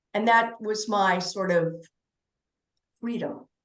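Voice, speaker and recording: There is audible room echo on this woman's voice. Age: 60s. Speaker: author, podcast guest. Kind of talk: casual interview chat. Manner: halting with false starts.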